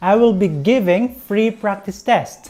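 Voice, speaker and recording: Spoken at a fairly slow pace with a Visayan Filipino accent, the voice has a dark, mellow tone and lively intonation. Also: woman. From Philippines, Visayan-speaking region. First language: Visayan (Bisaya). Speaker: English teacher, YouTuber. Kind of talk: tutorial.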